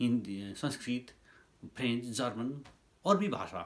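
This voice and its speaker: This man has lively intonation and a somewhat breathy voice. His pitch sits in the medium range. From Nepal. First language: Nepali (speaking Hindi). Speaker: YouTuber commentator. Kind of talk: opinion monologue. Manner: halting.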